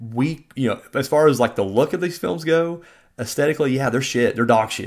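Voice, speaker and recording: In an ordinary speaking voice, a man with an American accent talks at a medium pitch with ordinary pitch variation, on a very clean recording with a silent background. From Southern Indiana, US. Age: 30s. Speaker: podcast host and indie filmmaker. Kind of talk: casual monologue and film review. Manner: casual, many fillers.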